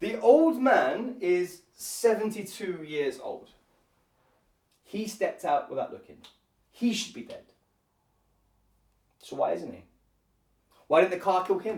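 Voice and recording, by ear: A man uses a put-on character voice with a high pitch, lively intonation and a slightly mellow tone. He talks at a slow pace with long, frequent pauses, and there is audible room echo.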